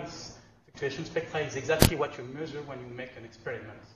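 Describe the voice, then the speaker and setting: A man with a fairly high pitch talks at a fairly quick pace with audible room echo. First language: not English. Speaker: lecturer. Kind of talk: lecture. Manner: halting, many fillers and restarts.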